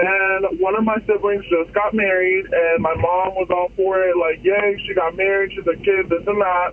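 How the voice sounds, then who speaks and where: Over noticeable background noise, a man with a high pitch speaks in a flat monotone at a moderate pace, hardly pausing at all. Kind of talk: casual phone vent. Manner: conversational, aggrieved, candid.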